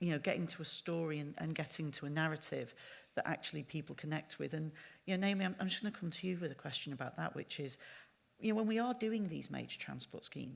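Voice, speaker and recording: A woman with a Manchester accent speaks at a very fast pace and a very deep, low pitch, with lively intonation. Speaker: panel chair. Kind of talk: panel discussion.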